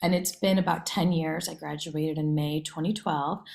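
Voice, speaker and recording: At a moderate pace, a woman talks with a fairly low pitch in an ordinary speaking voice. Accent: American. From US Midwest, Iowa. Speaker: education nonprofit director. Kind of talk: career talk presentation.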